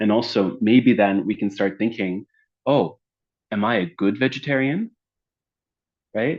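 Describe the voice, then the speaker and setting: With a Canadian accent, a man talks at a fairly low pitch. His pace is moderate and his intonation lively. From Canada. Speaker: lecturer and dialogue facilitator. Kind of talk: interactive lecture. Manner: hesitant, many fillers.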